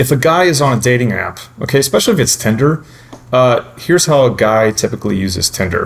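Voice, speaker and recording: Over noticeable background noise, a man talks at a very fast pace with lively intonation at medium pitch. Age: 30s. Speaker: dating commentator. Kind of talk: casual discussion. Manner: conversational with many fillers.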